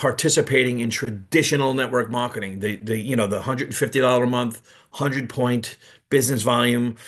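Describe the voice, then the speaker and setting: A man with a New York accent, medium in pitch, at a fairly quick pace over a quiet background. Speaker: network marketing presenter. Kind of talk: business presentation on livestream. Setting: live video call streamed to YouTube. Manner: halting, many repeats and fillers.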